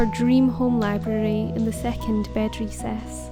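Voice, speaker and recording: A woman speaks in a Scottish accent. Music plays in the background. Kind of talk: casual home tour narration to camera.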